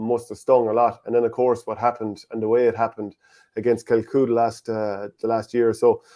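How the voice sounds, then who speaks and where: A man's medium-pitched voice with a dark, mellow tone at a fairly quick pace. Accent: Irish Midlands. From Irish Midlands. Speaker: sports interviewer. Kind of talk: interview.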